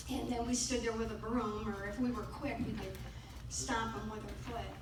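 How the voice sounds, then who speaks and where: A woman speaks in a room with audible echo. Background noise is noticeable. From Michigan. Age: 70s. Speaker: mole trapper. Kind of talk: speech to a meeting.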